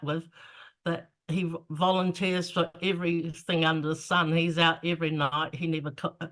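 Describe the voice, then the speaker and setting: In a New Zealand accent, a woman speaks at a moderate pace with a fairly low pitch and monotone, flat intonation. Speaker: author. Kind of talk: interview answer. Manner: casual, hesitant.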